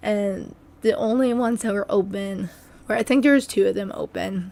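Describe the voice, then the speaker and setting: A soft-spoken woman talks at a moderate pace. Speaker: substitute teacher and gaming youtuber. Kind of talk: story time voiceover.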